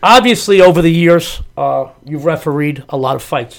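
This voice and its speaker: This man speaks with a New York accent. His pitch is high. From New York (Lower East Side, Manhattan). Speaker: podcast co-host, sports handicapper, former amateur boxer. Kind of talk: casual interview chat. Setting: studio.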